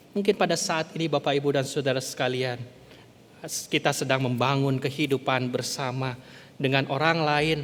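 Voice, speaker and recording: A man speaks with a West Javanese accent. His pace is moderate. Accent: Sundanese. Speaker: pastor. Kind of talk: sermon. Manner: halting, sometimes stumbling over words.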